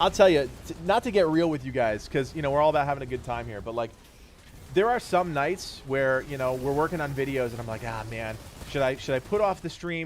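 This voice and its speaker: Amid noticeable background noise, a man with a fairly high pitch speaks at a fairly quick pace with ordinary pitch variation. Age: 30s. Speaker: gaming streamer. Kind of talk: casual livestream chat. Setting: livestream.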